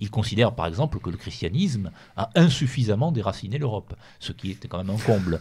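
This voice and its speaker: Fairly low-pitched and somewhat breathy, a man moves at a fairly quick pace with lively intonation. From Rouergue, southern France. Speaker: writer. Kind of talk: radio interview.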